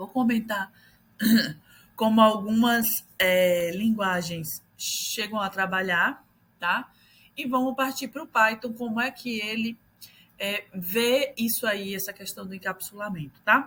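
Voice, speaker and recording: A woman talks very slowly, with normal pitch variation and long pauses that come often. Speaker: teacher. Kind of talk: lecture. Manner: casual, hesitant with fillers.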